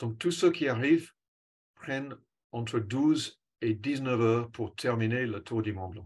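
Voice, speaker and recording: With an English accent, a man speaks at a fairly slow pace and medium pitch with ordinary pitch variation on a very clean recording with a silent background. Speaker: cycling coach. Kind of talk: presentation. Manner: hesitant, with fillers.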